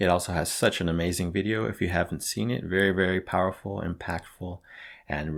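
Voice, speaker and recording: Speaking at a fairly quick pace, a man with a very deep, low pitch comes through a very clean recording with a silent background. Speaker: YouTuber singing covers. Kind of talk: casual introduction to songs. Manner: enthusiastic.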